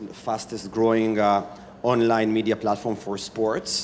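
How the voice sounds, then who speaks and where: Speaking at a moderate pace, a man has a fairly low pitch and monotone, flat intonation. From Israel. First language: Hebrew. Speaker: startup founder and CEO. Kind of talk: panel discussion.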